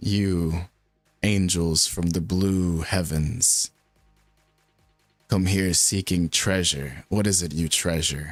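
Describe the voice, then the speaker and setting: In a booming, very deep put-on character voice, a man speaks at a very slow pace with long, frequent pauses and fairly even intonation over faint music in the background. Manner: solemn, commanding.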